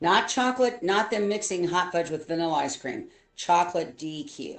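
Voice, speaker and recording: With lively intonation and a fairly low pitch, a woman talks at a moderate pace in an unremarkable speaking voice. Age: 60s. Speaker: streamer's mother, show co-host. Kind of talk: casual chat.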